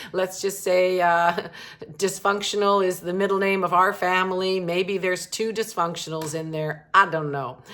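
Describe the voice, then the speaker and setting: Her intonation is fairly even, at a moderate pace. The woman has a plain, everyday voice. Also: medium pitch for a woman. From Canada. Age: 60s. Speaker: romance author and vlogger. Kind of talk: unscripted personal vlog. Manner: conversational, with many fillers.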